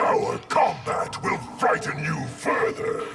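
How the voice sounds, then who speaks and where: A man growls through a put-on character voice at a very slow pace. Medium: video game. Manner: cold, speaks as 'we'.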